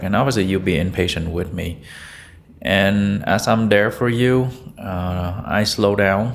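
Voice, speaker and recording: In a room with audible echo, a man speaks at a moderate pace with a fairly low pitch. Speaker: physician. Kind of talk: interview. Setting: doctor's office.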